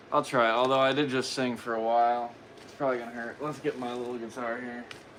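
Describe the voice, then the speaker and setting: A man with an American accent talks at a very fast pace and medium pitch in a flat monotone. Loudness swings widely, and room echo is audible. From USA. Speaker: guitar streamer. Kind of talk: casual livestream chat. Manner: halting.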